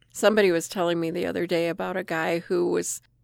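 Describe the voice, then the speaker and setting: In a very clean recording with a silent background, a woman talks at a fairly quick pace in a fairly low voice with vocal fry. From South Dakota, Rapid City. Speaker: nurse practitioner recounting flood memories. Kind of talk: oral history interview.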